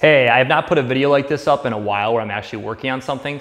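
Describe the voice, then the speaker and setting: Here a man is speaking. His intonation stays fairly even. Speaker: DIY garage vlogger. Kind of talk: tutorial. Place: garage. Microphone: camera far.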